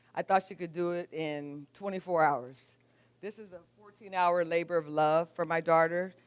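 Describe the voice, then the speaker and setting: Fairly even intonation marks this woman's fairly low-pitched delivery in an ordinary speaking voice. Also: moderate pace. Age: 60s. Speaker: juice business owner. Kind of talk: live presentation.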